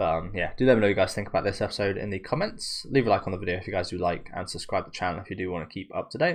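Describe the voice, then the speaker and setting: A man with a British accent speaks at a very fast pace. His pitch is fairly low with ordinary variation, on a very clean recording with a silent background. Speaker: anime reaction youtuber. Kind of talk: casual reaction commentary. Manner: talking a bit funny.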